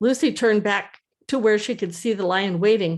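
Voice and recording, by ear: Reading aloud in a natural voice, the speaker shows ordinary pitch variation. The background is quiet.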